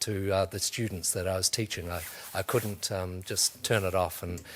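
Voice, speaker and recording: A man speaks with a New Zealand accent. His pitch is fairly low. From New Zealand, North Canterbury. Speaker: museum education officer. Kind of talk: career talk to students. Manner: hesitant, many fillers.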